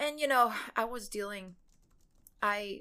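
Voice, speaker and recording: Speaking at a fairly slow pace, a woman has a fairly high pitch, a bright, sharp tone and ordinary pitch variation. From Mexico, Cancun. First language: Spanish. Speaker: animation showrunner. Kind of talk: casual interview. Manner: hesitant, many fillers.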